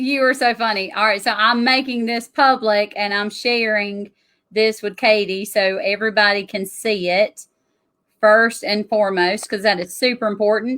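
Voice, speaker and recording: At a moderate pace, a woman speaks with a fairly high pitch and fairly even intonation. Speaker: tax strategist. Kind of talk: interview.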